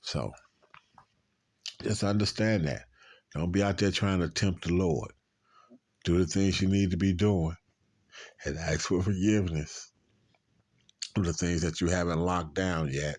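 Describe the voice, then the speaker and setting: At a moderate pace with long, frequent pauses, a man with a very deep, low pitch and ordinary pitch variation speaks in a very clean recording with a silent background. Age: 60s. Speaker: street preacher. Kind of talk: religious commentary. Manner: halting, repetitive.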